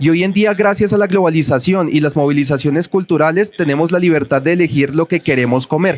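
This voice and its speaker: With a Bogotá accent, a man speaks at a fairly quick pace with ordinary pitch variation and very even loudness. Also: fairly high pitch for a man. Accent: Bogotá (rolo). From Bogotá, Colombia. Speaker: author and researcher. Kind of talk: book presentation talk.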